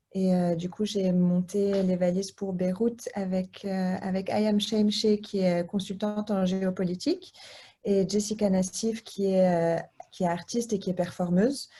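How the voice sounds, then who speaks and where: The woman talks at a fairly slow pace, medium in pitch and somewhat breathy. Her tone is dark and mellow, her intonation monotone and flat. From Lebanese diaspora. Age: 30s. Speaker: association co-founder. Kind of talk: interview. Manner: halting, many hesitations.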